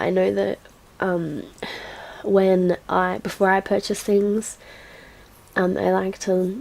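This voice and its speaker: A woman with a medium pitch speaks at a fairly slow pace over noticeable background noise. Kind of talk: casual gameplay voiceover commentary. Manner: chatty, rambling.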